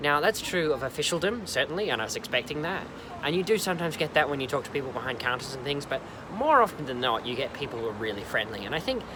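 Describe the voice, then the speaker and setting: A man talks with lively intonation while noticeable background noise runs underneath. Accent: Australian. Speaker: travel vlogger. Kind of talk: casual vlog monologue. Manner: conversational with many fillers.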